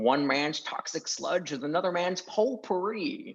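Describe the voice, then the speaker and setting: A man puts on a character voice, pitched high. He keeps a moderate pace. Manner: sly, grumpy.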